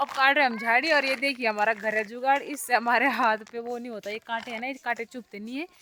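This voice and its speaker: A woman with a fairly high pitch speaks at a moderate pace, keeping her intonation fairly even. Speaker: vlogger. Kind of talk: casual vlog narration. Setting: outdoors in fields.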